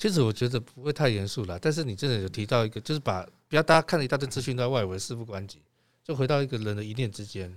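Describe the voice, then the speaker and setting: On a very clean recording with a silent background, a man talks very fast at medium pitch with lively intonation. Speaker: podcast co-host. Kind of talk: casual chat.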